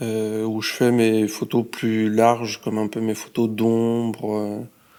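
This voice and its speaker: A man speaks very slowly at medium pitch in a dark, mellow tone. His intonation is monotone and flat. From France, Lyon. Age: 20s. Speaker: street photographer and graphic designer. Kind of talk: casual interview.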